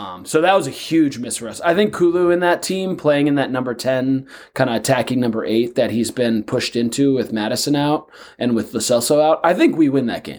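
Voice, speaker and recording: A man with an American accent has a normal speaking voice at a medium pitch, with lively intonation. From United States. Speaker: podcast co-host. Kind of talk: casual chat.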